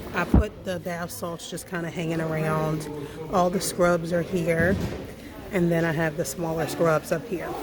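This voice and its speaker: A woman whispers at a fairly slow pace. Noticeable background noise and audible room echo surround her. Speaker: small business owner and vlogger. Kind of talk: casual vlog. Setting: indoor vendor event. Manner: whispering.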